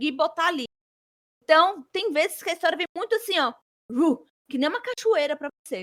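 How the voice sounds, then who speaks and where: A woman talks in a raised, projected voice with a bright, sharp tone and very wide pitch swings. Her pace is moderate, and the sound is dry and close with no echo. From Brazil, Espírito Santo. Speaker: author and flight attendant. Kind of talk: interview.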